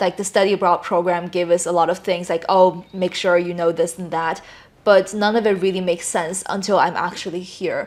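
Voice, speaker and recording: A woman with a Chinese accent speaks at a fairly quick pace in a monotone, flat voice. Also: medium pitch for a woman. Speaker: gap-year language student. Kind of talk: interview.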